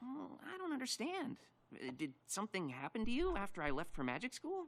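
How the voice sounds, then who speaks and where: A cartoonish character voice, pitched fairly high and delivered at a fairly quick pace. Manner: stammering, hesitant.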